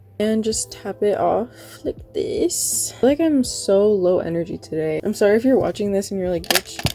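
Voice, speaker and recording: Music plays in the background while a woman speaks at a moderate pace. Her loudness swings widely. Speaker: beauty vlogger. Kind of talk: tutorial. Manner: casual.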